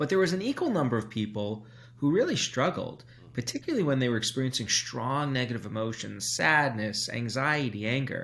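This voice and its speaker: A man talks at a fairly quick pace. His medium-pitched voice has lively intonation. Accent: American. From New York, Brooklyn. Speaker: psychology professor. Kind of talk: interview.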